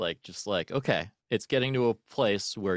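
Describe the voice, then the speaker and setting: A man talks at a moderate pace in a normal speaking voice with ordinary pitch variation. The sound is dry and close with no echo, and the recording is very clean against a silent background. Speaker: podcast host. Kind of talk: casual interview chat.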